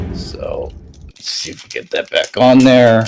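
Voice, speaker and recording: Music is heard behind the voice. A man speaks at a very slow pace. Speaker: action figure reviewer. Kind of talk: product review. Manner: halting; casual.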